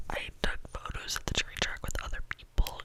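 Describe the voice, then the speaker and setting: A moderately paced whisper with noticeable noise in the background. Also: woman. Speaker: YouTuber. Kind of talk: ASMR whisper ramble. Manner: whispered, casual.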